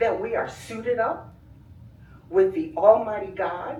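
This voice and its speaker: Audible room echo surrounds a woman whose pitch swings very widely. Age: 70s. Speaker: community member / family friend. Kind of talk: public comment at village board meeting. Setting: public meeting with audience. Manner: formal, oratorical.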